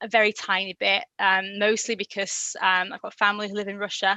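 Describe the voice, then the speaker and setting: A woman with a Yorkshire accent speaks at a fairly high pitch. Her tone is bright and sharp, and the sound is dry and close with no echo. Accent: Yorkshire twang. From Yorkshire, northern England. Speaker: language learner guest. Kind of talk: interview. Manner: hesitant, many fillers.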